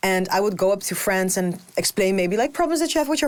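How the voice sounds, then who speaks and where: Over noticeable background noise, a woman talks very fast at a medium pitch with lively intonation. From Netherlands, Macedonian family. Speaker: podcast co-host. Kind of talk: casual chat.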